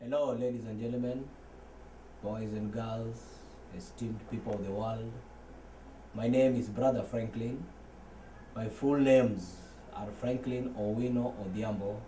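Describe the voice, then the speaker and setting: A man with a medium-pitched voice speaks at a fairly slow pace, with long, frequent pauses. His intonation is flat and monotone, and room echo can be heard. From Kenya, Nairobi. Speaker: church member, former footballer and dancer. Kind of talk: testimony.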